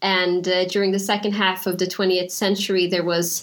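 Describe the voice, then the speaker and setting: Noticeable background noise and audible room echo surround a woman's voice. She talks fairly quickly at a medium pitch with fairly even intonation. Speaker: physician. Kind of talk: panel discussion.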